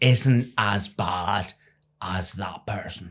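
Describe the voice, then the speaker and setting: Against a silent background on a very clean recording, a man talks with an Irish accent. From Ireland. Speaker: former professional cricketer. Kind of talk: interview.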